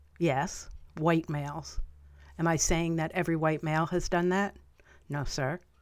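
A woman's fairly low-pitched, monotone, flat voice at a moderate pace, with long, frequent pauses, on a very clean recording with a silent background. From upstate New York (Albany, Columbia County). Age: 50s. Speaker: podcast host. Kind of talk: personal monologue.

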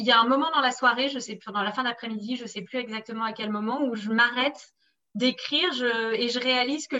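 Bright and sharp in tone, a woman with a high pitch speaks with fairly even intonation. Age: 30s. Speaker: sports journalist. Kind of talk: interview.

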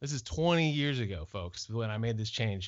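A man with an American accent talks at a fairly quick pace. His tone is animated and his intonation lively. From California, Fresno. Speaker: business founder. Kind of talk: casual chat.

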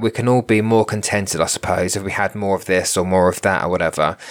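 A man is talking. His pitch variation is ordinary. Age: 40s. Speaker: podcast host and spiritual medium. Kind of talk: solo monologue podcast. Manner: halting.

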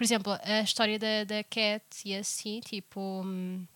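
A woman with an unremarkable speaking voice talks at a fairly slow pace and a fairly high pitch. The sound is dry and close with no echo, in a very clean recording over a silent background. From Portugal. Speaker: podcast co-host. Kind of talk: casual chat.

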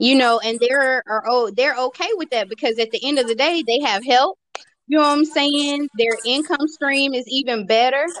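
A woman talks at a moderate pace in a high voice. Her pitch varies in an ordinary way. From Tennessee. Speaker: podcast guest. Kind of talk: casual chat.

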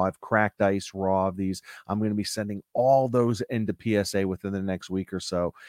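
In a dry, close sound with no echo and a silent background on a very clean recording, a man with an American accent talks at a moderate pace in an animated tone and a fairly low pitch. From US Northeast, Connecticut. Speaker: sports card podcast co-host. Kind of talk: casual chat.

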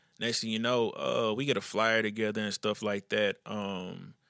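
In a very clean recording with a silent background and a dry, close sound without echo, a man with a Houston accent speaks at a fairly low pitch and moderate pace in a bright, sharp tone. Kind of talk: casual interview.

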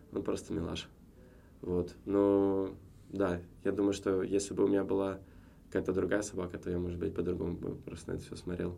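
A man's very deep, low voice has a dark, mellow tone and monotone, flat intonation, moving at a fairly quick pace between long, frequent pauses with audible room echo. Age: 30s. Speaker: businessman, former cinema chain executive. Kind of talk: casual chat. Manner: hesitant with frequent filler sounds.

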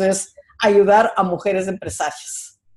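A woman's voice sits at medium pitch with a dark, mellow tone. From Ecuador, Quito. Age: 60s. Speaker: entrepreneur. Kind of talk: interview.

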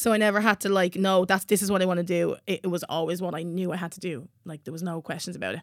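A woman speaks very fast in a Dublin accent at a medium pitch, her intonation fairly even. Her loudness swings widely, and the recording is very clean with a silent background. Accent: Irish (Dublin). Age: 20s. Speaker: singer-songwriter. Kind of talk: casual chat. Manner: loud laugh.

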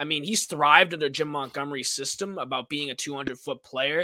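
A man with a Boston accent and a fairly high pitch speaks with ordinary pitch variation in a dry, close sound with no echo. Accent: Boston area. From Massachusetts. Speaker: sportswriter and student. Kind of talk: live-streamed sports chat. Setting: live stream.

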